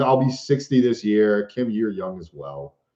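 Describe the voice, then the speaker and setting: A man with a Boston accent speaks at a fairly slow pace. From US Northeast, Boston. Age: 30s. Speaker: van life vlogger and entertainer. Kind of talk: live stream Q&A. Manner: animated.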